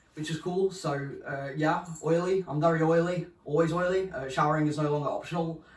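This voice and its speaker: Over noticeable background noise, a man with a high-pitched voice speaks in a flat monotone, with hardly any pauses. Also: fairly quick pace. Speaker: vlogger. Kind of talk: casual vlog update. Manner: casual, hesitant with many ums.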